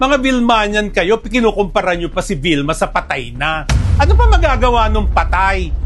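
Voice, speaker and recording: Music in the background under a man talking at a moderate pace. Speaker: film director and entertainment writer. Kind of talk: opinion commentary. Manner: animated, raised voice.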